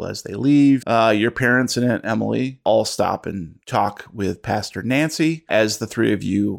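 Reading aloud naturally, with normal rises and falls in pitch

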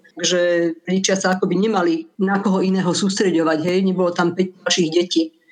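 A woman speaks at a very fast pace and medium pitch. Her intonation is monotone and flat, her loudness very even. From Moravia, Czech Republic. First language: Czech (speaking Slovak). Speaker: translator and editor. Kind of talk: radio interview.

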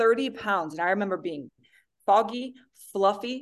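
A woman with an American accent speaks in an ordinary speaking voice at medium pitch, with ordinary pitch variation and a moderate pace, against a quiet background. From Montana, US. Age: 20s. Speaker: nutrition coach and athlete. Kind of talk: casual chat.

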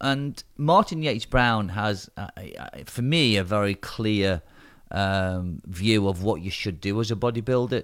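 The recording is very clean with a silent background, carrying a man's plain, everyday voice at fairly low pitch with ordinary pitch variation. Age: 50s. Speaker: bodybuilding competition promoter. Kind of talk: casual chat. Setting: studio.

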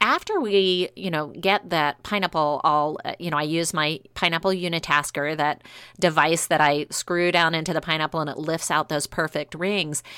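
On a very clean recording with a silent background and a dry, close sound with no echo, a woman with an American accent speaks at a moderate pace with hardly any pauses, her fairly low-pitched voice bright and sharp in tone and her intonation fairly even. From US South, New Orleans. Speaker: baking podcast co-host. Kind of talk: casual chat.

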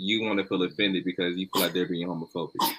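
A man speaks with a very deep, low pitch. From Atlanta, Georgia, US South. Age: 20s. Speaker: podcast guest. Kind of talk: casual chat.

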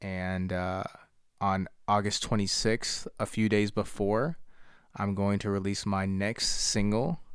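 Speaking at a fairly slow pace with an American accent, a man with a fairly low pitch has an unremarkable speaking voice in a very clean recording with a silent background. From Harrisburg, Pennsylvania, US. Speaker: rapper. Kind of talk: promotion of own music; casual chat.

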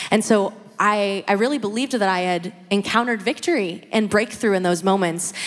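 A woman with an unremarkable speaking voice and a medium pitch speaks fairly quickly, with ordinary pitch variation. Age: 20s. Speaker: church member sharing testimony. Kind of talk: testimony.

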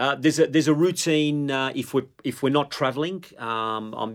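On a very clean recording with a silent background, a man speaks at a moderate pace with an Australian accent. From Melbourne, Australia (Italian migrant family, Northcote). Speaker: football coach. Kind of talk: casual chat.

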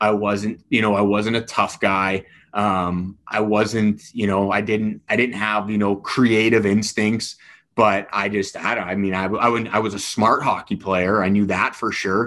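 A man's fairly low, monotone voice with flat intonation, a fairly slow pace, and a slight Canadian accent. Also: quiet background. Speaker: hockey coach and former player. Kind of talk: casual podcast interview. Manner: soft-spoken off the ice, fired up behind the bench.

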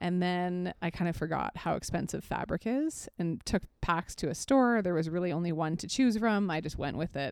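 A woman's plain, everyday voice, fairly low in pitch, with lively intonation, a moderate pace and hardly any pauses, on a very clean recording with a silent background. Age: 30s. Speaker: nutrition coach and podcast co-host. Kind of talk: casual chat.

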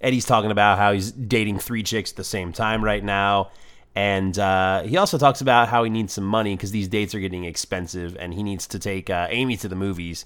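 The voice is a normal speaking voice, moving at a fairly quick pace with fairly even intonation and hardly any pauses. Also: man, fairly low pitch for a man. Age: 30s. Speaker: podcast co-host. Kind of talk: casual chat.

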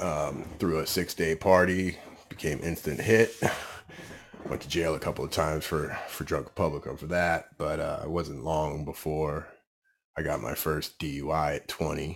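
A man speaks at a moderate pace with a very deep, low pitch, vocal fry and fairly even intonation. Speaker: fitness coach in recovery. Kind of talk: testimony. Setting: studio.

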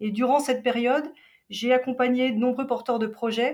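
Moderate in pace, a woman uses an ordinary speaking voice with fairly even intonation. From Switzerland, Geneva. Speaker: travel agency operations director. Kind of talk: interview.

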